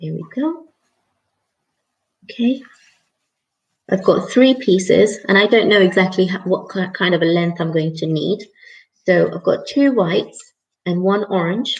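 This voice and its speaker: A woman at a medium pitch speaks fairly slowly and somewhat breathily, with ordinary pitch variation and long, frequent pauses. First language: not English. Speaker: craft tutor. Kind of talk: live tutorial. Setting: live stream. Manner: casual, chatty.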